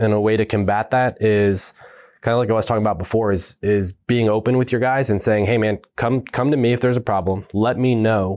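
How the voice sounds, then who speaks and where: A man talks at a moderate pace with a medium pitch and fairly even intonation. It is a normal speaking voice, heard against a quiet background. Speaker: Army first sergeant, former Special Forces team sergeant. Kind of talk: casual interview conversation.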